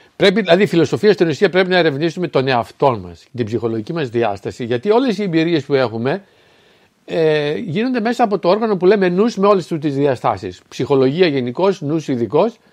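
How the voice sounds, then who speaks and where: Pitched fairly high, a man talks with very wide pitch swings. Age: 60s. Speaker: spiritual philosophy speaker. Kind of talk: solo spoken talk. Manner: halting, with fillers and self-corrections.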